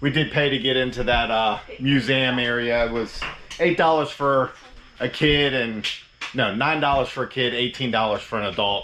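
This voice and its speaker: Fairly even intonation marks a man's unremarkable speaking voice, heard at a moderate pace. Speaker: RV travel vlogger. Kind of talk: casual vlog narration.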